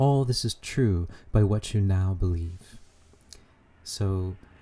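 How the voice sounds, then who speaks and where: There is a somewhat breathy quality to this man's voice, which has a dark, mellow tone and ordinary pitch variation. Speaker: spiritual channeler. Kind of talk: spiritual talk. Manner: hesitant, many fillers.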